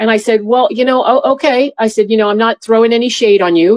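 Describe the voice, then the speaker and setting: A woman with an American accent talks very fast. Her pitch is fairly high, with ordinary variation. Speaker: former airport security officer. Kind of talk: testimony. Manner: halting.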